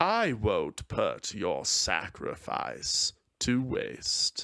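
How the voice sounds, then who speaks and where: A man puts on a character voice at an extremely high pitch. He delivers it at a very slow pace. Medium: read story. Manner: calm, casual, smug.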